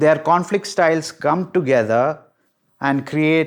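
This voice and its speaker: A man on a very clean recording with a silent background. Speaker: psychology educator. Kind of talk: lecture. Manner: slow; repetitive, emphatic.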